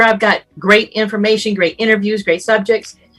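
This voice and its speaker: Music plays in the background as a woman with a fairly high pitch speaks at a moderate pace. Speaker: radio personality. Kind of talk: summit talk. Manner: conversational.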